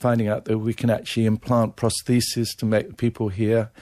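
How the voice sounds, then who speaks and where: With an English accent, a man talks at a moderate pace and medium pitch in a dark, mellow tone, his intonation monotone and flat, on a very clean recording with a silent background. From England, Devon. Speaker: ear surgeon and professor. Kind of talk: radio interview.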